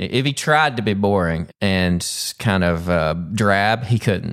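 In a Southern US accent, a man speaks on a very clean recording with a silent background. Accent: Southern US, still present. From Arkansas (Pumpkin Bend). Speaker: poet and English professor, podcast host. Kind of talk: solo podcast monologue.

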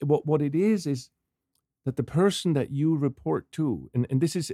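A man with a fairly high pitch and a dark, mellow tone speaks at a moderate pace. His intonation is lively, and the sound is dry and close with no echo. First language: not English (Swiss). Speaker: business professor and author. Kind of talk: interview conversation.

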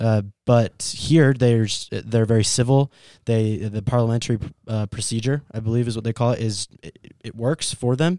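A man speaks in a normal speaking voice at a moderate pace and medium pitch, with a dry, close sound with no echo on a very clean recording with a silent background. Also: ordinary pitch variation. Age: 20s. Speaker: political science student. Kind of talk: casual chat. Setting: studio.

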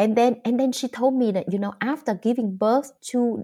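A woman speaks with a Vietnamese accent in a dark, mellow tone. The recording is very clean, with a silent background. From rural Vietnam. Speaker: novelist and poet. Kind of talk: interview conversation.

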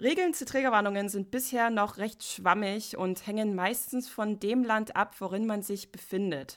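A woman's ordinary speaking voice, fairly high in pitch, at a moderate pace with ordinary pitch variation. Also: hardly any pauses. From United States. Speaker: podcast host. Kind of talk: solo podcast monologue.

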